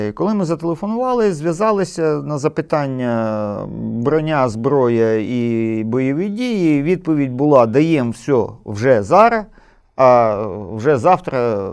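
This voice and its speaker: Over a quiet background, a man talks at a very slow pace, his fairly high pitch making very wide swings. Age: 60s. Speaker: war veteran. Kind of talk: interview.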